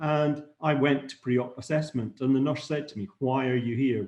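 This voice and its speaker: A man talks in a fairly high voice. There is a somewhat breathy sound to it. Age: 60s. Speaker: anaesthetist. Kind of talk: lecture. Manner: halting.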